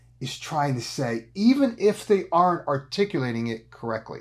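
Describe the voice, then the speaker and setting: On a very clean recording with a silent background, a man talks at a moderate pace in an animated tone. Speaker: executive coach. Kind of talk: business advice talk.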